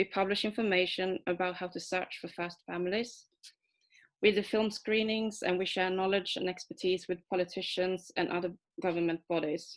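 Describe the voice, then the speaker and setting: A woman's medium-pitched voice with a Swedish accent, fairly even intonation and a moderate pace, on a very clean recording with a silent background. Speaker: adoptee rights activist and comic artist. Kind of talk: prepared talk read from manuscript. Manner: hesitant, with fillers.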